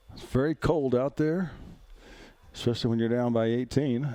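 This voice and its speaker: Speaking with an Alabama accent, a man with a medium pitch and a dark, mellow tone talks at a fairly slow pace with fairly even intonation. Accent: Southern US (Alabama). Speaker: play-by-play announcer. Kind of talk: live commentary. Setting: outdoors. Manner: slurring words.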